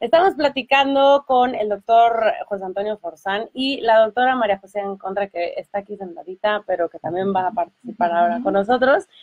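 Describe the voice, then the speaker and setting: Speaking at a fairly quick pace, a woman with a plain, everyday voice uses a fairly high pitch and lively intonation. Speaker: radio host. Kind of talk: radio talk show interview. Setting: radio studio.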